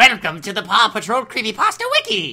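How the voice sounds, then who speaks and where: In a put-on character voice, a female-sounding speaker talks at a fairly quick pace and a fairly high pitch. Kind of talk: read aloud. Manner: creepy.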